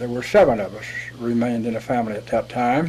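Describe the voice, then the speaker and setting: Speech in an American accent, with ordinary pitch variation, comes through noticeable background noise. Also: man. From West Virginia, rural Appalachia. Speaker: war veteran. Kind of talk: interview. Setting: studio.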